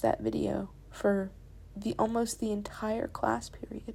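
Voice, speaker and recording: The speaker is a woman. Her pace is very slow. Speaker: drawing YouTuber. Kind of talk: casual voiceover talk while drawing. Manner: rambling, conversational.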